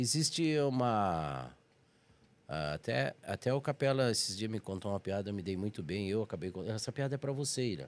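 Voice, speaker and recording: Here a man talks at a moderate pace in a fairly low pitch. His pitch swings very widely. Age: 60s. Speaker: comedian. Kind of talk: podcast interview.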